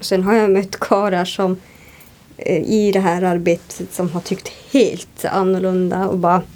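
Over noticeable background noise, a woman talks at a fairly slow pace with medium pitch and monotone, flat intonation. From northern Sweden, Sámi (Jämtland and Kiruna area). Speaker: radio presenter. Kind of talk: interview. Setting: hotel room.

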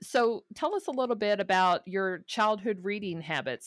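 A woman with an ordinary speaking voice shows ordinary pitch variation, recorded in a dry, close sound with no echo. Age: 40s. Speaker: podcast host and teacher. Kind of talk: casual chat. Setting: remote recording.

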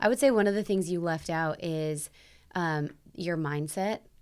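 A woman with a Midwestern American accent talks at a moderate pace, her pitch fairly low and her intonation fairly even. The recording is very clean, with a silent background. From South Bend, Indiana. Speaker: CrossFit gym owner and nutrition coach. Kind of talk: casual interview.

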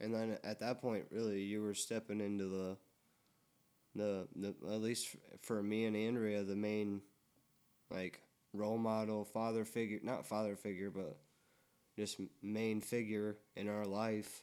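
Dark, mellow speech at a fairly slow pace, flat and monotone, with long, frequent pauses. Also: man, fairly low pitch for a man. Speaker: podcast host. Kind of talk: casual chat. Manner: stutters and stumbles over words.

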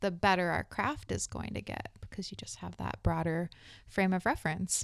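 A woman speaks in an American accent with an ordinary speaking voice and a fairly low pitch. Her pace is moderate, and the recording is very clean with a silent background. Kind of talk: casual interview chat.

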